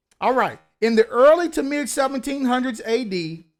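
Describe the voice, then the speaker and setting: Speaking in a Kentucky accent, a man uses lively intonation. The recording is very clean, with a silent background. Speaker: book reviewer, online show host. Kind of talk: book review, reading aloud with commentary. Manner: casual, conversational.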